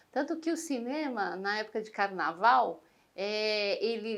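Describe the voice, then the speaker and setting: A woman's fairly high voice has a bright, sharp tone and lively intonation. She speaks at a fairly slow pace. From Brazil, São Paulo. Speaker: interviewee. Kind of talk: interview testimony. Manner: hesitant, many fillers.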